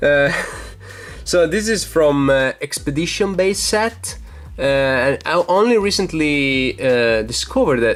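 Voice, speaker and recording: Speaking at a fairly slow pace, a man uses a fairly high pitch and lively intonation while his loudness stays very even. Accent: Italian. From Italy. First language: Italian. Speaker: YouTuber, card collector. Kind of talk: casual show-and-tell video. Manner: hesitant, many fillers.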